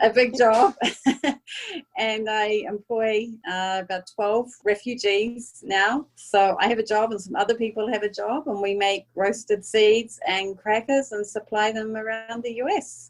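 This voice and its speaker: A woman with a New Zealand accent speaks at a fairly slow pace. Her fairly high voice keeps a fairly even intonation. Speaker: food business owner. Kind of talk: podcast interview.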